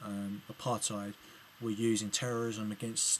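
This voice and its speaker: The speaker is a man with a medium pitch. He talks with an English accent. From England. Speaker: political video blogger. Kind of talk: video reply commentary. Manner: halting, many fillers and restarts.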